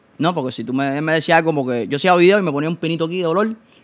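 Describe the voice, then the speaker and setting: A man with a high pitch races along at a very fast pace, his pitch varying in an ordinary way. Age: 20s. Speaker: TikTok content creator; guest. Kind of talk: casual chat. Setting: studio. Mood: animated storytelling. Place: studio. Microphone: studio mic.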